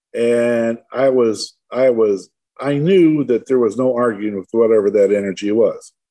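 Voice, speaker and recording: A dark, mellow tone at a fairly slow pace, with a Midwestern American accent. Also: man, medium pitch for a man, ordinary pitch variation. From Michigan, Detroit suburbs. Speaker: tree grower and near-death experiencer. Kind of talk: interview.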